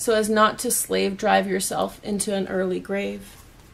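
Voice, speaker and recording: Noticeable noise fills the background. Words come out at a very slow pace. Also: woman. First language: not English. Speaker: tarot reader. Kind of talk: tarot forecast reading.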